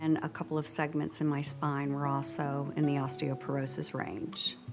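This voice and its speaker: Over background music, a woman talks at a fairly slow pace. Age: 60s. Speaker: patient. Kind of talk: testimony.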